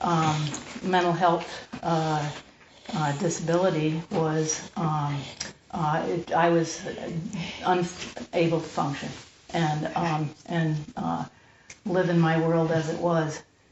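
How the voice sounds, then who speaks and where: Over noticeable background noise, a woman with a fairly low pitch speaks at a very slow pace. Her intonation is monotone and flat, with long, frequent pauses. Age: 60s. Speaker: mental health recovery speaker and landscaper. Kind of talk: personal testimony to a group. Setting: group room. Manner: halting, full of fillers.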